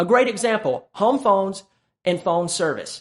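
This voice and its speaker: This man has a high pitch and speaks with a Southern US accent. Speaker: sales coach and YouTuber. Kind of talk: tutorial.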